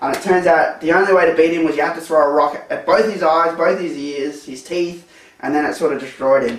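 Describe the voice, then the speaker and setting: A man talks at a very fast pace at a high pitch, with ordinary pitch variation. Audible room echo and noticeable background noise surround him. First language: not English. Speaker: retro game reviewer. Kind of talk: casual video review. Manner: animated; hesitant, many fillers.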